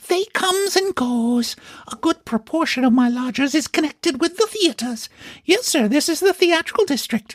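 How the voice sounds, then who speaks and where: A man puts on a character voice at an extremely high pitch. It sounds squeaky yet guttural. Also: moderate pace. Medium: read story. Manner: wheedling, chatty.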